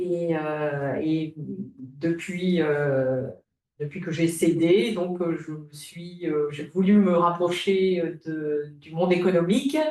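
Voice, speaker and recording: Speaking at a very slow pace, a woman keeps her intonation fairly even. Her pitch sits fairly low. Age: 60s. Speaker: retired business owner, transfer association volunteer. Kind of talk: webinar panel talk. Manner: halting, many hesitations.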